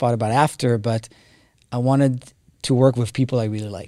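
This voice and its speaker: A man with an Israeli accent, medium pitch and monotone, flat intonation, on a very clean recording with a silent background. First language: Hebrew. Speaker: tech company co-founder. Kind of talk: interview.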